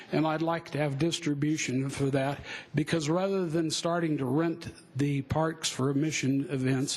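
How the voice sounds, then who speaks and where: Speaking in an American accent, a man has a fairly high pitch and a moderate pace. His intonation is monotone and flat. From US West, Denver, Colorado. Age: 60s. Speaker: public commenter at city hearing. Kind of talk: public testimony at hearing. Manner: halting, with many fillers.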